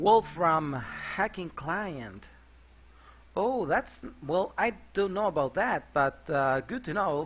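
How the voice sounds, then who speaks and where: With music in the background, the voice moves very slowly through very wide pitch swings. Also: man, high pitch for a man. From Mexico. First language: Spanish. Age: 30s. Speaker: software developer and game modder streaming. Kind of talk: live coding stream. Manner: hesitant with frequent fillers.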